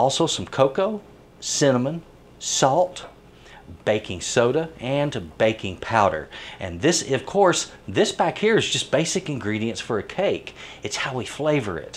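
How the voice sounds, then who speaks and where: A man's voice with vocal fry at a moderate pace. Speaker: home cooking show host. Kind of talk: tutorial. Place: kitchen.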